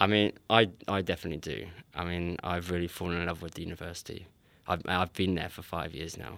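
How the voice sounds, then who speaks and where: A man's very deep, low voice in an English accent, very fast and fairly even in intonation, on a very clean recording with a silent background. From England. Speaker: PhD student. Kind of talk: interview.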